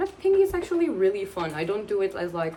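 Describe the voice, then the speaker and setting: A woman speaks with a Portuguese accent over noticeable background noise. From Portugal. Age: 20s. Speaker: booktuber. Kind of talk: casual vlog talk to camera. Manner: chatty, rambling with fillers.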